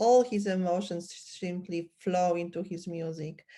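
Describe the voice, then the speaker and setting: A woman with a Polish accent speaks at a very slow pace in a fairly low voice with fairly even intonation. The recording is very clean with a silent background. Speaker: podcast host. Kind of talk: interview conversation.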